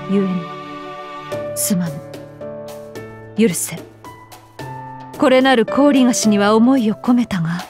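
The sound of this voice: Doing a put-on character voice, a woman speaks slowly with long, frequent pauses and lively intonation, her tone fairly high, slightly mellow and with a slightly husky edge. Faint music plays in the background.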